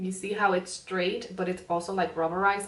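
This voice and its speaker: A woman talks in a Spanish accent, her pitch sitting at medium. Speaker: beauty vlogger. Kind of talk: makeup tutorial. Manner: frequent um fillers and pauses; casual, chatty.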